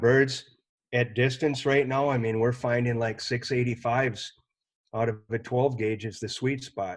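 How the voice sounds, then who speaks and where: A man's medium-pitched, unremarkable speaking voice at a moderate pace, with fairly even intonation. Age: 60s. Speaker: hunting ammunition company representative. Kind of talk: casual chat.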